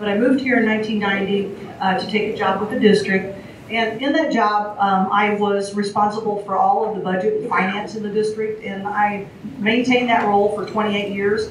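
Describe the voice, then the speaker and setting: A woman talks at a fairly quick pace in a monotone, flat intonation at medium pitch. Audible room echo and noticeable background noise fill the recording. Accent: American. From rural Missouri, US Midwest. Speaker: school board candidate. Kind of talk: candidate forum opening statement. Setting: public forum with audience.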